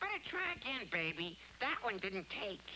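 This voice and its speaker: This cartoonish character voice sounds female and sits at a fairly high pitch. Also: moderate pace. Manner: wisecracking, brash.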